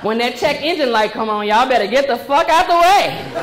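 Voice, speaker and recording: Through noticeable background noise, a woman speaks at a high pitch with very wide swings. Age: 30s. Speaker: stand-up comedian. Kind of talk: stand-up comedy set on stage. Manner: lively, comedic, conversational.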